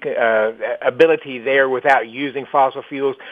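A man's normal speaking voice, fairly high-pitched, at a moderate pace with fairly even intonation. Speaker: energy industry expert. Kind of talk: interview.

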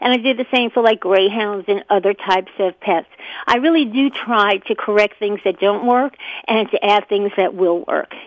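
A woman with an ordinary speaking voice talks at a moderate pace and a medium pitch. Her loudness stays very even, and her pitch varies in an ordinary way. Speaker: pet product entrepreneur. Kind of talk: interview.

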